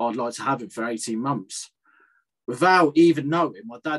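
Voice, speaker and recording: Speaking at a moderate pace, a man with an unremarkable speaking voice lets his pitch vary in an ordinary way. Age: 30s. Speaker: ex rugby league player and aspiring boxer. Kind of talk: casual chat.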